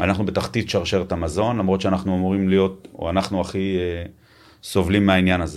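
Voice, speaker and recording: A man's very deep, low-pitched voice. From Israel, Tel Aviv. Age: 50s. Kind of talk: interview.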